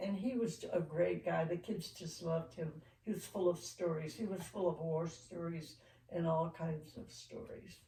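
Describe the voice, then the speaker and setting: A woman's fairly low, somewhat breathy voice with a dark, mellow tone, ordinary pitch variation, a moderate pace and hardly any pauses. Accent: American. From United States. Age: 80s+. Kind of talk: interview answer.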